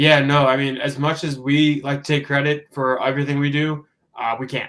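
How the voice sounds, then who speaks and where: Fairly high in pitch, a man with an American accent speaks fairly quickly in a flat, monotone way. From New York / New Jersey, US. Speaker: professional wrestler. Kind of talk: interview.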